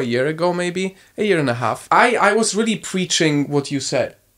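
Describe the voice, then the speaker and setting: A fairly quick pace in a Polish accent. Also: man. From Poland, small town. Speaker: content creator. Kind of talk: casual chat.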